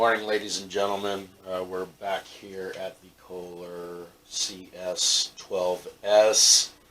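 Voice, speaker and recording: At a very slow pace, a man with a fairly low pitch speaks in a monotone, flat way. Noticeable background noise runs underneath. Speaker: hobbyist machinist doing engine repair. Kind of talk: workshop tutorial. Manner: hesitant with many fillers.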